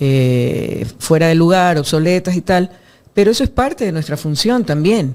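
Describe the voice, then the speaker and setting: A plain, everyday voice, moderate in pace, with lively intonation. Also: woman. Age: 60s. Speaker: former legislator, architect. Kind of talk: interview. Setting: studio.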